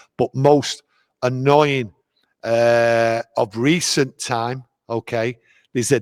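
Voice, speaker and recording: Here a man speaks at medium pitch with a Mancunian accent. His delivery is monotone and flat, with a dry, close sound and no echo. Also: very clean recording, silent background. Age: 60s. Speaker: football fan guest. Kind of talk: casual interview chat.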